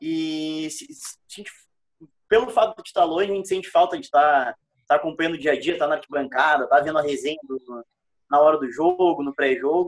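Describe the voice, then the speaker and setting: Dry and close with no echo, an unremarkable speaking voice from a man comes fairly high in pitch and fairly quick, with ordinary pitch variation and big swings in loudness. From Rio Grande do Sul. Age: 20s. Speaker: podcast co-host. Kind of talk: casual chat.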